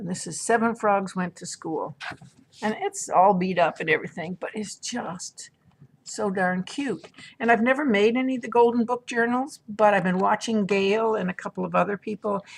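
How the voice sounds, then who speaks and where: A woman talks at a moderate pace with a fairly high pitch, ordinary pitch variation and a somewhat breathy quality. Her loudness swings widely, and the sound is dry and close with no echo. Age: old. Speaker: craft and haul vlogger. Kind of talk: casual show-and-tell vlog. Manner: chatty, halting with repetitions.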